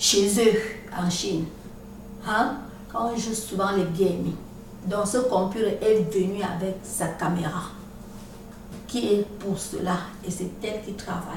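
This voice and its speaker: Very slowly, a woman speaks with fairly even intonation and long, frequent pauses. Noticeable background noise and audible room echo are present. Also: medium pitch for a woman. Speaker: vlogger. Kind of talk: video monologue. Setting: at home, recording video.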